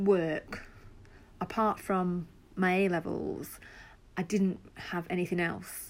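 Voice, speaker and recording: A woman with an English accent speaks very slowly at a medium pitch. Her intonation is monotone and flat on a very clean recording with a silent background. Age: 40s. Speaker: podcaster and job seeker. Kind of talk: personal monologue. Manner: hesitant, with fillers.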